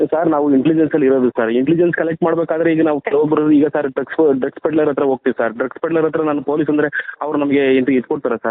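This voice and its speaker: A man with fairly high pitch, fairly even intonation and very even loudness, noticeable background noise. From Karnataka, Kunigal taluk (Tumkur). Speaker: police sub-inspector. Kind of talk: phone interrogation. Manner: halting.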